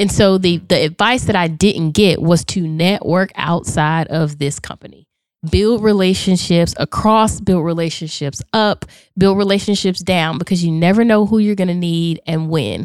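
A plain, everyday voice from a woman with an American accent, fairly low in pitch with ordinary pitch variation, on a very clean recording with a silent background. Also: moderate pace. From Charlotte, North Carolina. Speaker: motivational speaker and author. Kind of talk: casual interview chat. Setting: studio.

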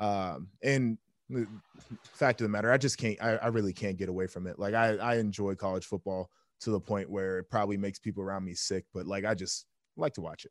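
An ordinary speaking voice belongs to a man with an American accent and fairly low pitch. He talks at a fairly quick pace with ordinary pitch variation, the sound dry and close with no echo. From Columbus, Ohio, US Midwest. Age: 20s. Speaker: former football player and TV analyst. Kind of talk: casual chat. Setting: video call.

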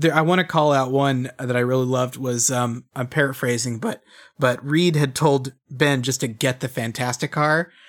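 With fairly even intonation and a moderate pace, an unremarkable speaking voice comes through a very clean recording with a silent background. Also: man, medium pitch for a man. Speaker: guest co-host from another podcast. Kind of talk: casual chat.

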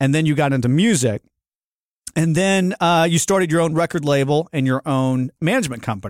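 Recorded very cleanly against a silent background, a man with a plain, everyday voice talks in a fairly high pitch with lively intonation, the sound dry and close with no echo. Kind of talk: casual interview chat. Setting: studio.

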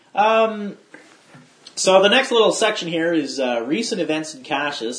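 A man's lively intonation at a moderate pace, with noticeable background noise. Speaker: podcast host. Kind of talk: casual podcast chat.

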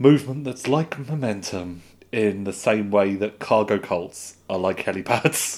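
A man speaks in an ordinary speaking voice at a medium pitch with ordinary pitch variation, in a very clean recording with a silent background. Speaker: podcast co-host. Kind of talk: casual chat podcast.

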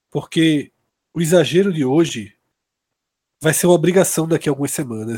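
In a dry, close recording with no echo, a man speaks at a moderate pace with very wide pitch swings. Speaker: sports podcast panelist. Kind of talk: casual sports analysis.

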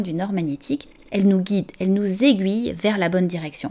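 A woman talks at a fairly quick pace in a medium pitch, her tone dark and mellow. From France. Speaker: podcast host and event planner. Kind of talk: scripted narration.

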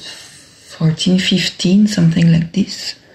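Noticeable background noise sits behind a woman whose fairly low voice has ordinary pitch variation. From Brussels, Belgium. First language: French. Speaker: dancer and choreographer. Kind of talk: interview. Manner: hesitant, many fillers.

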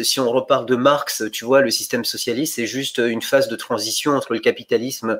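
The man speaks in an ordinary speaking voice at a fairly quick pace. His pitch varies in an ordinary way. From born in Bulgaria. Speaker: economist. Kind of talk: academic conversation.

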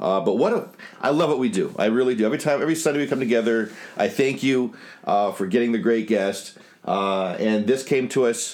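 A man's plain, everyday voice at medium pitch, with ordinary pitch variation, a fairly quick pace and very even loudness. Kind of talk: casual chat.

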